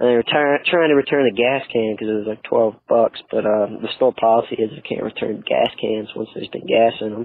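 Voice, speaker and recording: Using an ordinary speaking voice at a medium pitch, a man talks at a fairly quick pace with ordinary pitch variation and hardly any pauses. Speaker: caller. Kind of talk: phone-in voicemail. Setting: phone call.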